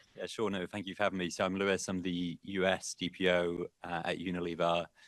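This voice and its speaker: A man with a British accent speaks fairly quickly in a very deep, low pitch and a monotone, flat intonation. The sound is dry and close with no echo, on a very clean recording with a silent background. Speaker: in-house privacy lawyer. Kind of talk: panel discussion.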